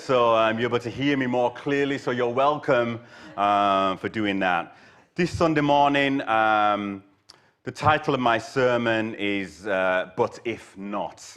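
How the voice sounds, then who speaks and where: In a Yorkshire accent, a man speaks at a fairly slow pace and medium pitch. His pitch varies in an ordinary way against a quiet background. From Yorkshire, northern England. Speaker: guest preacher. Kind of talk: sermon. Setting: church service with live audience. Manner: hesitant, many fillers.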